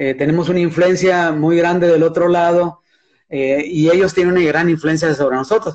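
The man's high-pitched voice holds fairly even intonation and very even loudness. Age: 60s. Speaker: surfer and surfboard builder. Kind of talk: casual chat.

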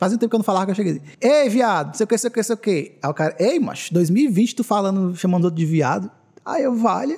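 This man talks at a very fast pace with a high pitch, lively intonation and very even loudness. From Northeast Brazil, Canindé. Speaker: gaming podcast co-host. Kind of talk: casual chat. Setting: livestream.

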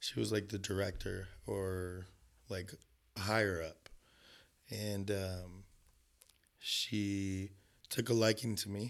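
In a very clean recording with a silent background, a man talks at a very slow pace. He has a Southern Californian accent, a fairly low pitch and monotone, flat intonation. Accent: Southern California American. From Los Angeles, US (North Hollywood). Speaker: photographer. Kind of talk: casual interview. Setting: indoor room, window open to outside.

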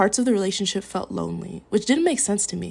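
Vocal fry runs through this voice with an American accent, heard on a very clean recording with a silent background. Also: woman. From Minnesota. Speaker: podcast host. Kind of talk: personal monologue.

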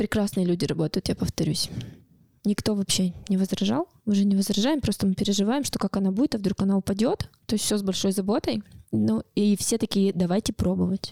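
A woman talks at a fairly quick pace with a medium pitch and ordinary pitch variation, her voice somewhat breathy. The sound is dry and close with no echo, and the loudness stays very even. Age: 30s. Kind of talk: personal testimony interview. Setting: studio.

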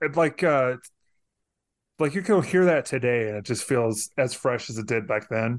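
Against a quiet background, a man uses a normal speaking voice at medium pitch, with lively intonation and a fairly slow pace. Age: 40s. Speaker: podcast host. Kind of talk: casual chat.

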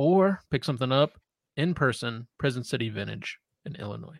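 On a very clean recording with a silent background and a dry, close sound with no echo, a man with an ordinary speaking voice talks at a medium pitch with ordinary pitch variation. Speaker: co-host. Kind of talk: casual chat, movie review.

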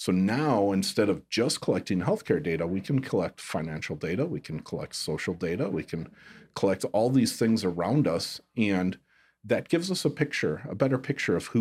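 The recording is very clean with a silent background. A man at a fairly low pitch talks at a moderate pace with very wide pitch swings. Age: 40s. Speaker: chiropractor and health tech entrepreneur. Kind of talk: casual interview.

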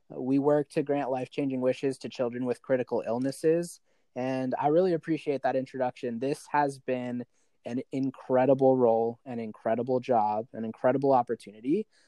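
Speaking in an American accent, a man has a dark, mellow tone and fairly even intonation at a fairly quick pace. The sound is dry and close, with no echo. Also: medium pitch for a man. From Arizona. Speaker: charity worker. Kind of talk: casual chat.

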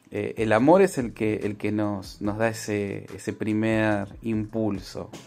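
Delivered at a very slow pace, the speech keeps a fairly even intonation. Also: man. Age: 40s. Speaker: marriage counselor. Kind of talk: recorded interview answer.

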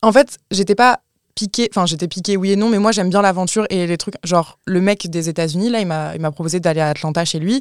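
A woman's medium-pitched voice with ordinary pitch variation, a plain, everyday voice, on a very clean recording with a silent background and a dry, close sound with no echo. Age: 20s. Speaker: content creator and podcaster. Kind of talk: casual chat.

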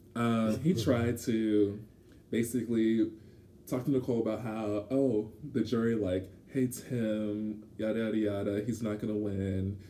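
A man speaks at a fairly slow pace in a fairly low pitch, his tone dark and mellow. His intonation is monotone and flat, with audible room echo. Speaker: podcast co-host. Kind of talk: casual chat. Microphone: poor audio environment.

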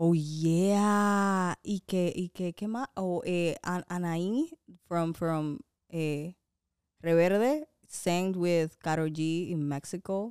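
A woman speaks at a very slow pace with a fairly low pitch and ordinary pitch variation, her voice dry and close with no echo on a very clean recording with a silent background. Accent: American. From Dominican Republic and US. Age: 20s. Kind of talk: casual chat. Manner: talkative, laughing.

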